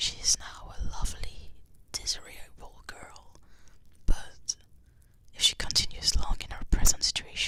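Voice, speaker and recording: A woman whispers at a fairly slow pace, with big swings in loudness. Her speech has long, frequent pauses. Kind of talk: ASMR book reading. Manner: whispered.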